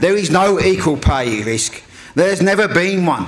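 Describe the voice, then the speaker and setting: A man with a Birmingham accent, high-pitched, at a moderate pace. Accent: Birmingham (Brummie). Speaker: union convenor. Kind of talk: speech.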